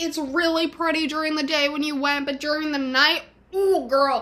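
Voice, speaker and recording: A woman's raised, projected voice with an animated tone over noticeable background noise. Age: 20s. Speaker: vlogger. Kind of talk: casual monologue vlog.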